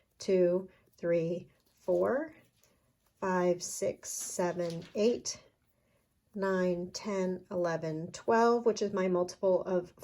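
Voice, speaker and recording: A woman's dark, mellow tone at medium pitch, very slow and fairly even, on a very clean recording with a silent background. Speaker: crochet designer and teacher. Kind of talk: tutorial. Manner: slow, counting stitches aloud.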